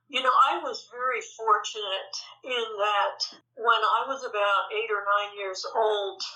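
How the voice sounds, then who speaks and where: Speaking at a very slow pace, a woman with an American accent and a fairly high pitch is heard with audible room echo. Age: 70s. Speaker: Buddhist meditation teacher. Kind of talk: interview.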